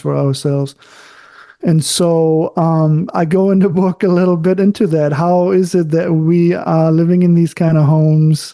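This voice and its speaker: A man with a German accent speaks in a fairly high pitch, with a dark, mellow tone and monotone, flat intonation. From Germany. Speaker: architect and author. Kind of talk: interview conversation. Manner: halting, searches for words.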